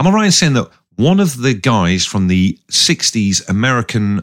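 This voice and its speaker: A man with an English accent, very wide pitch swings, and a moderate pace, in a dry, close recording with no echo that is very clean against a silent background. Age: 40s. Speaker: radio DJ and podcast co-host. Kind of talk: casual chat.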